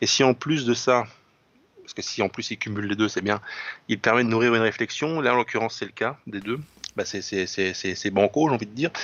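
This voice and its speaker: With long, frequent pauses, a man talks at a fairly quick pace and medium pitch, with ordinary pitch variation. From France, Lorraine. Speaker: writer and commentator. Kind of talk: literary discussion.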